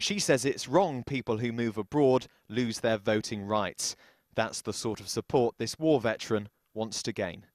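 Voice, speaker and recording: Here a man with a plain, everyday voice talks at a moderate pace and a medium pitch, with ordinary pitch variation. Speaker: news reporter. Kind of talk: TV news report voice-over.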